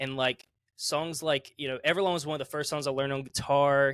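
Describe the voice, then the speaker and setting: A man's fairly high voice with a Southern US accent at a moderate pace, in a very clean recording with a silent background and a dry, close sound with no echo. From US South, South Carolina. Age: 20s. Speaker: musician. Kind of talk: casual interview.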